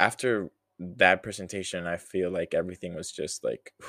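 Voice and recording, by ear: A man talks with a low-pitched voice.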